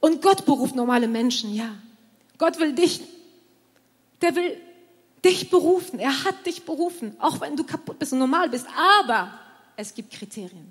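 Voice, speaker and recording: A woman with a high pitch talks at a moderate pace, her pitch swinging very widely and her loudness shifting a lot. She leaves long, frequent pauses. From southern France. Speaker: pastor. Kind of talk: sermon.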